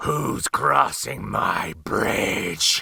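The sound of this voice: A man puts on a raspy, growling character voice. His pitch sits very deep and low.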